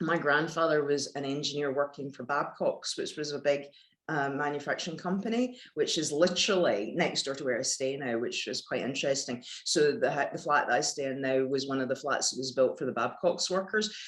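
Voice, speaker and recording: A woman with a Glasgow accent speaks at a fairly quick pace. Her voice is very deep and low. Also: ordinary pitch variation. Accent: west of Scotland (Glasgow area). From Scotland, Paisley near Glasgow. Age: 50s. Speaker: former lawyer turned yoga teacher. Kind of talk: casual interview.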